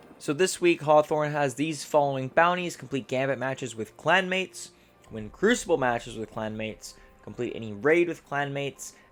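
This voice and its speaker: A man talks at a fairly quick pace, his pitch varying in an ordinary way, with music in the background. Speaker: gaming video creator. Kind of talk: gameplay tutorial. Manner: stumbling over words; casual.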